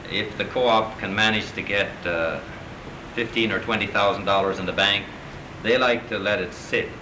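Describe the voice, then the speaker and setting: Over noticeable background noise and audible room echo, a man talks at a moderate pace in a fairly low pitch with fairly even intonation. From Newfoundland, Canada. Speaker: co-op organizer, guest lecturer. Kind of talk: lecture.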